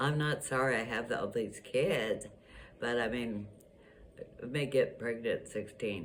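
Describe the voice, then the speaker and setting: A woman's very deep, low pitch at a very slow pace, with audible room echo. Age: 80s+. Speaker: grandmother. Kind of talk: interview. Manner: halting.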